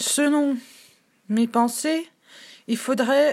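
On a very clean recording with a silent background, a woman speaks in a monotone with flat intonation. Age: 20s. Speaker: podcaster sharing personal testimony. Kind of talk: personal testimony and opinion monologue.

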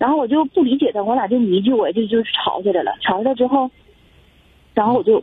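Over noticeable background noise, a woman talks at a very fast pace in a high pitch, her intonation lively. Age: 40s. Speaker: caller, full-time mother. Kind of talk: phone-in advice call. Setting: phone call. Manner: halting.

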